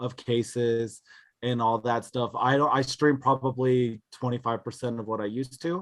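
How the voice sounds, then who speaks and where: The voice belongs to a man with a medium pitch and a bright, sharp tone. He keeps a moderate pace. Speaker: card collector and streamer. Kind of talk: podcast interview. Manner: loud.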